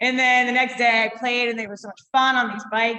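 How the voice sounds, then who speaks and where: Talking very fast, a woman sounds animated. Her voice is fairly high, with a bright, sharp tone. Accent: New England. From Massachusetts. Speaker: brewery co-founder and long-distance walker. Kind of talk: casual interview chat.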